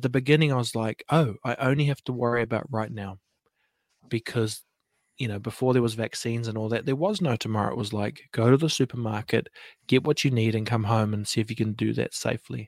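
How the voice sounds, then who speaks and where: With a New Zealand accent, a man talks at a very fast pace and medium pitch. His intonation is fairly even, and the recording is very clean with a silent background and a dry, close sound with no echo. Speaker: podcaster and breathing coach. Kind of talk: casual chat. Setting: live stream fireside chat.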